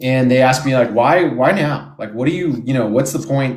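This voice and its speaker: The speech comes at a fairly quick pace with fairly even intonation and audible room echo. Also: man. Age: 30s. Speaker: political candidate. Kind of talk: interview.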